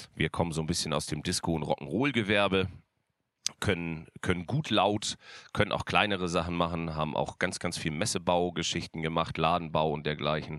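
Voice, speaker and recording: In a very clean recording with a silent background, a man with a very deep, low voice talks at a moderate pace with ordinary pitch variation. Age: 40s. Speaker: livestream host, event technology business owner. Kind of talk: casual livestream chat. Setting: studio.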